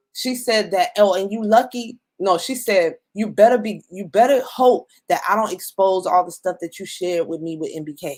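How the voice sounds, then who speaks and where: A woman's medium-pitched, animated voice with ordinary pitch variation and big swings in loudness. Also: moderate pace. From New York. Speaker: YouTuber. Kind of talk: casual chat.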